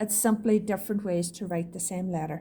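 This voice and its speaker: Ordinary pitch variation in a somewhat breathy voice from a woman. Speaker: shorthand teacher. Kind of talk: lesson to students. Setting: recorded video lesson.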